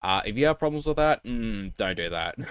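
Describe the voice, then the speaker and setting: A man talks at a fairly quick pace with lively intonation. The sound is dry and close with no echo, on a very clean recording with a silent background. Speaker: reaction commentator. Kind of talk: casual commentary. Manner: fast.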